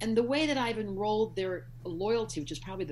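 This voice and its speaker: A woman talks, and room echo is audible around her. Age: 60s. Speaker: astrologer. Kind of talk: interview.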